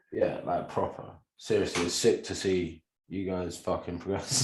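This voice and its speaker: A man talks at a moderate speed. His voice carries audible room echo. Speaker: online group host or coach. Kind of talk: casual chat to a group.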